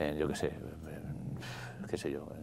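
A man talks with vocal fry, and audible room echo surrounds his voice. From Spain, Madrid area. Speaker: rock musician. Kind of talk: casual interview.

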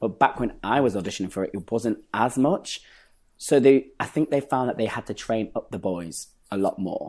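Fairly quick, lively speech with a slight Lancashire accent on a very clean recording with a silent background. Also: man. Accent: northern English, Lancashire, slight. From northern England, Bury. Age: 20s. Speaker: dancer and actor. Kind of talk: casual interview chat. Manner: animated, humorous.

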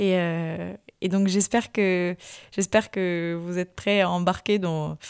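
A woman talks at a medium pitch and a very slow pace. The recording is very clean with a silent background, and the sound is dry and close with no echo. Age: 20s. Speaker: podcast host. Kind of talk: solo podcast monologue. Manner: hesitant, many fillers and repetitions.

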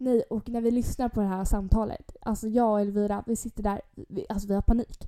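A woman talks at a fairly quick pace with hardly any pauses, in a fairly high voice. Her tone is dark and mellow, her intonation monotone and flat. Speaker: podcast co-host. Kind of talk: casual chat.

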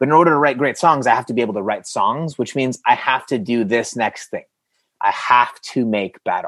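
The speaker has a plain, everyday voice and lively intonation. The pace is fairly quick, and the background is quiet. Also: man. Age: 40s. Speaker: creative coach and seminar speaker. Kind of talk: seminar talk.

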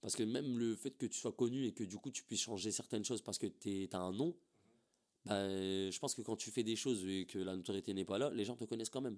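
With an ordinary speaking voice, a man talks at a fairly quick pace, his pitch fairly low with ordinary variation. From northern France, Templeuve near Roubaix. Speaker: rapper. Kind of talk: casual interview chat. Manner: casual, filler-heavy slang speech.

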